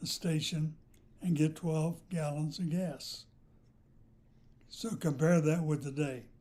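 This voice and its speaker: A man's fairly high-pitched yet dark, mellow voice at a very slow pace, with fairly even intonation. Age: 80s+. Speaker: retired house builder. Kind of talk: interview answer, reminiscing.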